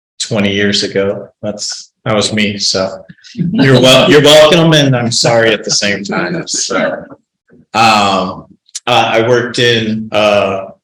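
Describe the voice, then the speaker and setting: Speaking at a very slow pace in an American accent, the voice shows ordinary pitch variation. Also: man, medium pitch for a man. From Colorado, Denver area. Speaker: county sheriff. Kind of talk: informal talk to a group. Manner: many fillers and hesitations; speaks carefully, filtering his words.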